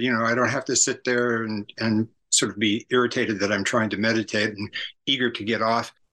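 A man speaks at a fairly quick pace with a bright, sharp tone and medium pitch. His intonation is monotone and flat, over a quiet background. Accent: American. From US West Coast, San Francisco area. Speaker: author and cultural critic. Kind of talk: interview.

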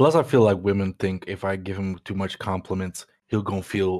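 A fairly low-pitched man with a Dutch accent, ordinary pitch variation and a fairly quick pace, on a very clean recording with a silent background. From Netherlands. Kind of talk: casual chat.

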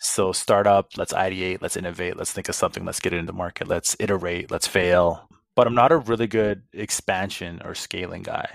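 On a very clean recording with a silent background and a dry, close sound with no echo, a man with a Canadian accent talks fairly quickly at a fairly low pitch, with ordinary pitch variation and hardly any pauses. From Saskatoon, Saskatchewan, central Canada. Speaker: business executive. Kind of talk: interview. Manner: mellow.

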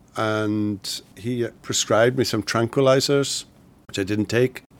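This man has a Welsh accent and a medium pitch, with ordinary pitch variation. He talks at a moderate pace on a very clean recording with a silent background. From Wales. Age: 60s. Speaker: pastor and theology professor. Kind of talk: interview.

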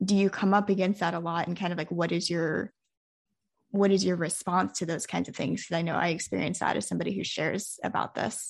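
A woman with a plain, everyday voice speaks at medium pitch with fairly even intonation. The background is quiet. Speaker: podcast host. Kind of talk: casual interview conversation.

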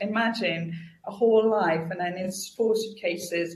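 A woman speaks fairly slowly at a medium pitch, somewhat breathy, with ordinary pitch variation. Audible room echo surrounds her voice. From France. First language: French. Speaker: customer experience consultant and author. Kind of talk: interview.

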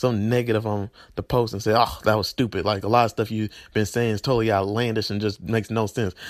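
In a Southern US accent, a man talks at a very fast pace with an animated tone and a fairly low pitch. The recording is very clean with a silent background. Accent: Southern US, country. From Tennessee, US South. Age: 20s. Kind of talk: sermon-style vlog monologue. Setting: video channel, solo. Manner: animated, preachy, emotional.

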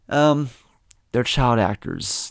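In a very clean recording with a silent background and a dry, close sound with no echo, a man with an ordinary speaking voice uses ordinary pitch variation. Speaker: podcast host. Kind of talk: casual solo film review podcast.

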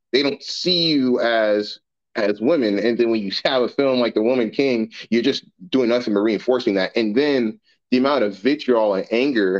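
An ordinary speaking voice, with ordinary pitch variation and a moderate pace. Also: man. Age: 20s. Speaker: military service member. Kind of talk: casual podcast discussion.

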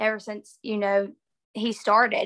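Recorded dry and close with no echo, a woman with a Southern US accent speaks in a bright, sharp tone at a fairly high pitch. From northeast Alabama. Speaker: college softball player. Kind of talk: casual interview chat.

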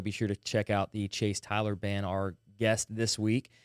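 Recorded very cleanly with a silent background, a man speaks with a Southern US accent. The sound is dry and close with no echo. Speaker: podcast host. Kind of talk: casual chat. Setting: studio.

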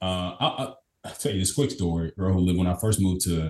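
Somewhat breathy and very deep in pitch, a man talks at a fairly quick pace. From Kentucky, small town. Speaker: business consultant. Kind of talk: interview conversation. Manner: energetic, upbeat.

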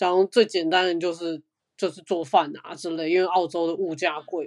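An unremarkable speaking voice talks at a moderate pace. The background is quiet. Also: woman. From Taiwan. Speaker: digital learning designer. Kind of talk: casual chat.

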